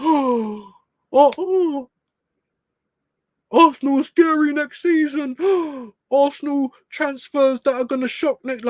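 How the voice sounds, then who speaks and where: A put-on character voice, high in pitch, at a fairly slow pace with long, frequent pauses. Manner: excitable, mocking.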